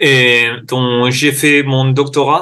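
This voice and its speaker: A man's voice has a bright, sharp tone. His intonation is monotone and flat. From Spain. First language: Spanish (speaking French). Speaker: sport science researcher. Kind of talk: interview. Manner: halting.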